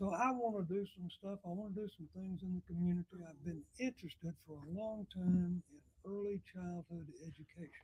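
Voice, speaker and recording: A man with a Southern US accent speaks fairly quickly in a high pitch for a man. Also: big swings in loudness, dry, close sound with no echo. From Alabama, US South. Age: 80s+. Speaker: retired mayor. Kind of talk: talk show interview. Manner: halting.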